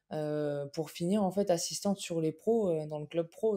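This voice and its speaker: This woman's voice sits fairly low, with a dark, mellow tone and fairly even intonation. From Alsace, France. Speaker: basketball coach. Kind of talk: interview. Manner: hesitant, many fillers.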